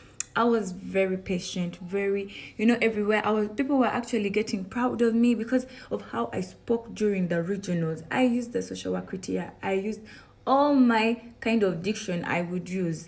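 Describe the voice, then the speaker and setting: A somewhat breathy woman speaks at a fairly quick pace with a medium pitch and ordinary pitch variation. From northern Uganda, Gulu. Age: 20s. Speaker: beauty queen. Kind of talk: testimony.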